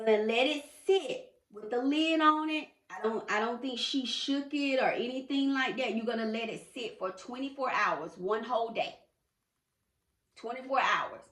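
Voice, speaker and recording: A woman with a high voice and lively intonation speaks at a moderate pace amid audible room echo. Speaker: lifestyle vlogger. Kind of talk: tutorial. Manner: casual.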